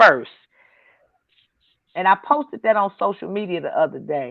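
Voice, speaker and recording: A woman speaks with vocal fry. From Detroit, US Midwest. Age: 50s. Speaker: comedian. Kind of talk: casual chat. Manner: animated.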